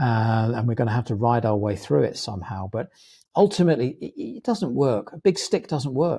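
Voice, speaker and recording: On a very clean, dry and close recording with a silent background and no echo, a man with a British accent speaks at a fairly quick pace in a medium pitch, his dark, mellow tone somewhat breathy and his pitch swinging very widely. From England. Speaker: executive coach, former HR professional. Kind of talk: casual interview chat.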